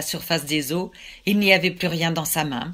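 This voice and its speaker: A woman speaks with fairly even intonation in a dramatic tone at a fairly low pitch. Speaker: storyteller. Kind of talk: folk tale storytelling. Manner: measured, dramatic narration with suspenseful pauses; voices God and Satan in quoted dialogue.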